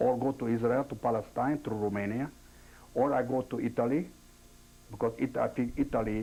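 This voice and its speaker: With a non-native accent and a dark, mellow tone, the speaker moves at a fairly quick pace. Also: man. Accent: foreign. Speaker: Holocaust-era survivor witness. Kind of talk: oral history interview. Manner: halting.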